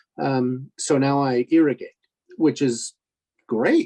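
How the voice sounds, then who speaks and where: Fairly slow speech from a man with a fairly high pitch and a dark, mellow tone, dry and close with no echo. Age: 60s. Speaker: forum panelist with spinal cord injury. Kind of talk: online support forum discussion. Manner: halting, many fillers.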